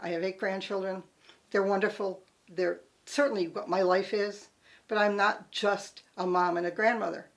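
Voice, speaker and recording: A woman with an ordinary speaking voice talks at a medium pitch and moderate pace. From Connecticut. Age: 60s. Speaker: political campaign organizer. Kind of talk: personal reminiscence interview.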